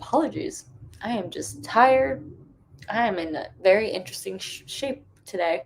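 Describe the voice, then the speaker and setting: A woman's hoarse, put-on character voice at a medium pitch and a moderate pace. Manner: drowsy, low energy.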